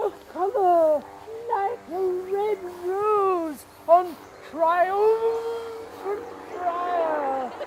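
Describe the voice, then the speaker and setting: A put-on character voice speaks at an extremely high pitch and a very slow pace. Long pauses come often, over clear background noise. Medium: stage play. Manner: hesitant, confused.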